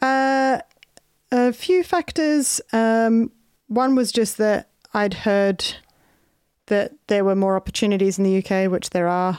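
A woman with an Australian accent, fairly high pitch, lively intonation, very even loudness, and long, frequent pauses. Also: fairly slow pace. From Australia (Adelaide). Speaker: comedian. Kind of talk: casual chat. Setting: video call.

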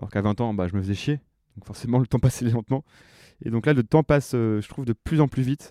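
Talking at a very fast pace, a man with a medium pitch and a dark, mellow tone shows ordinary pitch variation in a very clean, dry, close recording with a silent background and no echo. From Normandy, France. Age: 30s. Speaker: comedian. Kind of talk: casual chat.

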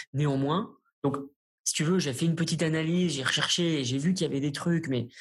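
A somewhat breathy man's voice at a moderate pace. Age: 30s. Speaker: startup founder and CEO. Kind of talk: interview.

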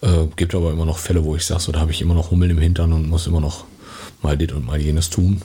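A man with a very deep, low voice delivers monotone, flat speech at a very fast pace over noticeable background noise. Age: 50s. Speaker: podcast host. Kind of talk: casual chat.

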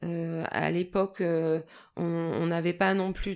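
The recording is very clean, with a silent background. A woman speaks in a fairly low pitch and a flat monotone. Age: 40s. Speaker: person living with bipolar disorder. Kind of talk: personal testimony. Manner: halting, many hesitations.

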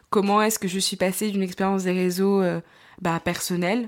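A woman's medium-pitched voice in monotone, flat intonation, on a very clean recording with a silent background. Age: 20s. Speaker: podcaster and young author. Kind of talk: solo podcast monologue. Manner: hesitant, many fillers.

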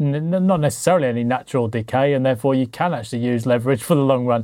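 A man with a British accent talks at a very fast pace, his tone dark and mellow. His pitch is medium with ordinary variation, and the recording is very clean with a silent background. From Britain. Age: 40s. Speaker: podcast host and financial coach. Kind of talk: casual chat.

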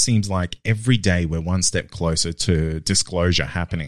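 On a very clean recording with a silent background, a man speaks at a very deep, low pitch with an Australian accent. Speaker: podcast host interviewing. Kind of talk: interview.

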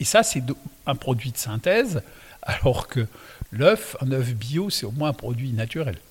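The speaker moves at a fairly slow pace with long, frequent pauses. The intonation is lively and the voice somewhat breathy. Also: man, medium pitch for a man. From Alsace. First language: Alsatian (speaking French). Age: 60s. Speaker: winemaker. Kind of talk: casual interview. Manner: calm.

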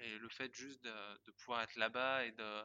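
With a normal speaking voice pitched in the middle range, a man talks in fairly even intonation. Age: 20s. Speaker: guesthouse co-owner training to be a farmer. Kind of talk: testimony.

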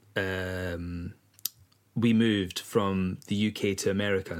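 A man with a Scottish accent speaks at a fairly low pitch in a monotone, flat way. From east coast of Scotland. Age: 40s. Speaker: singer-songwriter and record label owner. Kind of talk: casual chat.

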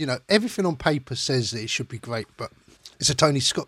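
A man's fairly high voice with very wide pitch swings, dry and close with no echo, on a very clean recording with a silent background. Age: 40s. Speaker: film podcaster. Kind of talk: solo film review monologue.

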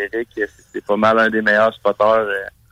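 A man's bright, sharp voice with monotone, flat intonation and a dry, close sound with no echo. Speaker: race car driver. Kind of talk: casual chat.

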